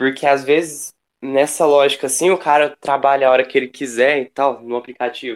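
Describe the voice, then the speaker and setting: Fairly high-pitched man at a fairly quick pace, intonation fairly even, on a very clean recording with a silent background. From Brazil, Franca (São Paulo state interior). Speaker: delivery app worker and union activist. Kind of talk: casual discussion. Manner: hesitant, many fillers.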